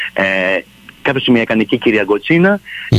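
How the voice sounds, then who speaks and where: Noticeable background noise runs under a man's medium-pitched voice. The sound is dry and close, with no echo. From Montreal, Canada. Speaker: theatre director. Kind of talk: radio interview.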